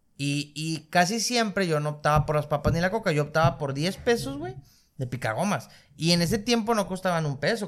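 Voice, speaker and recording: Lively intonation and a somewhat breathy voice at a moderate pace, in a very clean recording with a silent background. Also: man. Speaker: podcast host. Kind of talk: casual chat.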